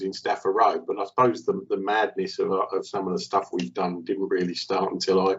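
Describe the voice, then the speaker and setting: A man talks with a southeast English accent. His pace is fairly quick. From England, Kent (Maidstone). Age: 50s. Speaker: company director, charity fundraiser. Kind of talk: casual chat.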